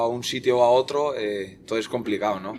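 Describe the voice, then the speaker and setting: A man at medium pitch, a fairly quick pace and fairly even intonation. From Basque Country, Spain (Eibar); born in northern Portugal. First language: Portuguese (speaking Spanish). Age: 20s. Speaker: futsal goalkeeper. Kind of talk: podcast interview.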